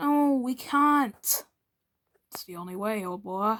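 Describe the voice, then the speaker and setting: At a fairly slow pace, a woman performs a put-on character voice pitched fairly high. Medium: read story.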